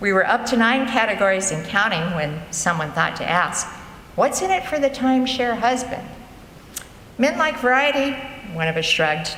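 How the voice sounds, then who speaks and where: A woman speaks at a fairly high pitch and a moderate pace, her pitch swinging very widely, with long, frequent pauses. Noticeable background noise and audible room echo fill the recording. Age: 70s. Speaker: author and storyteller. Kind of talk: reading aloud of own humorous essays to a live audience. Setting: church concert with audience.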